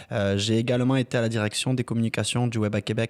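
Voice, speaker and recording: A man's very fast delivery in a monotone, flat intonation. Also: dry, close sound with no echo. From southern France (Mazamet, near Toulouse). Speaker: marketing agency founder. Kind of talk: podcast interview.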